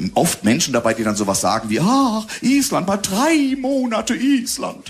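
This man's voice moves in very wide pitch swings. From Hesse region, Germany (Bingen am Rhein). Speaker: comedian. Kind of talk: casual chat. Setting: studio. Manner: animated.

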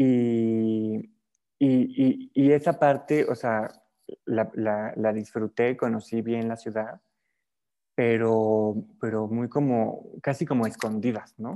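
Speaking at a very slow pace, the man uses a medium pitch, a dark, mellow tone and fairly even intonation. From Mexico. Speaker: traveler. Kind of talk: casual chat.

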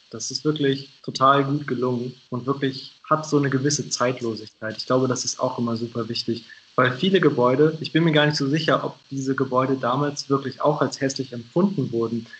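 Speaking fairly quickly, a man uses an ordinary speaking voice. His medium pitch moves with fairly even intonation. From Hannover, northern Germany. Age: 20s. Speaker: podcast guest. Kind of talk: casual interview. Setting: remote call.

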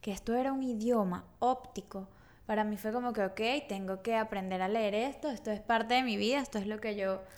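A woman with a normal speaking voice talks at a fairly quick pace and a fairly high pitch, with fairly even intonation. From Venezuela, Caracas. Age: 30s. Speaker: tarot reader. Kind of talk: interview.

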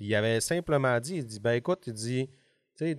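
Medium-pitched male voice with a Lac-Saint-Jean accent, dry and close with no echo, over a quiet background. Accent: Lac-Saint-Jean Quebec French. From Quebec, Lac-Saint-Jean (Alma). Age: 40s. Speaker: fishing TV show producer. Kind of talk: casual chat. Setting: office.

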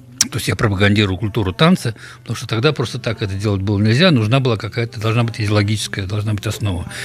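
A man talks at a very fast pace with ordinary pitch variation. His pitch is fairly low, and background noise is noticeable. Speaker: concert promoter. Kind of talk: interview.

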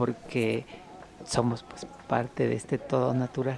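Fairly slow delivery from a man amid noticeable background noise. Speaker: walking artist. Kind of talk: interview testimony.

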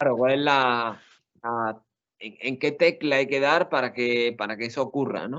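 Fairly slow pace from a man at a medium pitch with fairly even intonation. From Spain, Seville (Andalusia). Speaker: exam candidate, sociologist. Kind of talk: interview. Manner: halting.

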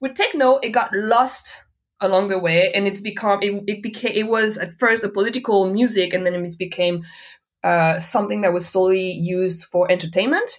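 A woman talks with a French accent at a moderate pace. Her pitch variation is ordinary. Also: medium pitch for a woman. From France, Nantes. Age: 30s. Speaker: DJ and music producer. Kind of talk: interview.

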